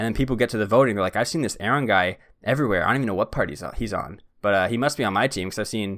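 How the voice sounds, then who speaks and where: The recording is very clean and its background silent. A man rattles along at a very fast pace. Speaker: podcast host. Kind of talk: casual chat. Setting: studio.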